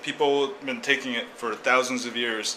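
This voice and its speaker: The intonation stays monotone and flat over noticeable background noise. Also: man. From Korea. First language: Korean. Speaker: blogger. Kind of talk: casual explanatory monologue. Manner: halting, many fillers.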